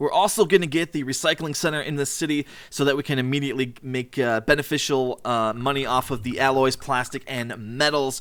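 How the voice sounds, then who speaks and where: A man speaks at a fairly high pitch with ordinary pitch variation. He moves at a fairly quick pace with hardly any pauses. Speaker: gaming youtuber. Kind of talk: let's play commentary. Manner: fast.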